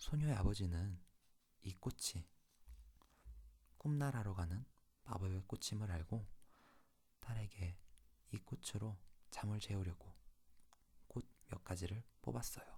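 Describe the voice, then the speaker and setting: Somewhat breathy and soothing, a man speaks in a dark, mellow tone at a fairly low pitch, leaving long, frequent pauses. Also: ordinary pitch variation. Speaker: ASMR channel host. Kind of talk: ASMR fairy tale reading. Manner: soft, slow, soothing bedtime reading.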